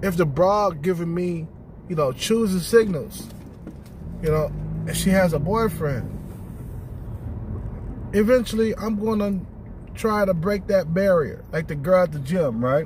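A man speaks at a fairly slow pace with long, frequent pauses, using a high pitch and ordinary pitch variation. The sound is dry with no echo, though background noise is noticeable. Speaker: vlogger. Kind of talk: casual vlog chat. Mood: relaxed, blunt. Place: car. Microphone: phone near.

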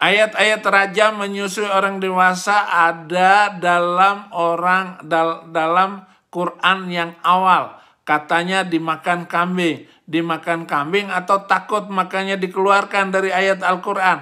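A man speaks with a raised, projected voice at a high pitch and a bright, sharp tone. His intonation is monotone and flat, and his pace very slow. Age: 50s. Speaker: preacher. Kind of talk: religious commentary monologue.

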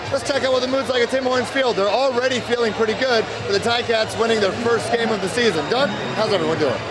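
Over loud background noise, a man with an extremely high pitch rushes along at a very fast pace with hardly any pauses and very even loudness. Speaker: sports reporter. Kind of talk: live on-location news report. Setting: outdoors. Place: bar. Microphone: handheld.

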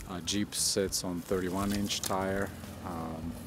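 A man's voice has a dry sound with no echo, set against loud background noise. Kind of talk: casual spoken commentary on vehicle specs.

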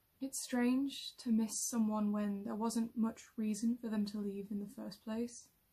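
Somewhat breathy and fairly high-pitched, a woman talks at a fairly slow pace in a dark, mellow tone with monotone, flat intonation over a quiet background. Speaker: actor performing a monologue. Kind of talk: scripted monologue, reflective and wistful. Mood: sad, wistful, tearful. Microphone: phone near.

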